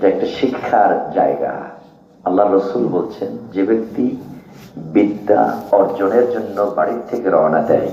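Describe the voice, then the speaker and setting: Audible room echo and noticeable background noise surround a man whose pitch sits fairly low. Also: ordinary pitch variation, very even loudness. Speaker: Islamic preacher. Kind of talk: sermon.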